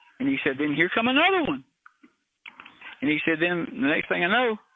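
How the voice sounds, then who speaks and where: A man talks with a Southern US accent. His intonation is lively. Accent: Southern US (Georgia). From US South, north Georgia. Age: 60s. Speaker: retired criminal investigator and helicopter pilot. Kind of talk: interview, personal storytelling. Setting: remote interview from his backyard.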